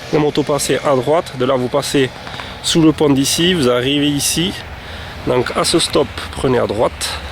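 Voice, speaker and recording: A medium-pitched male voice with fairly even intonation, over noticeable background noise. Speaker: holiday rental owner. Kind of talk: guided video tour. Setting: outdoors. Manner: halting.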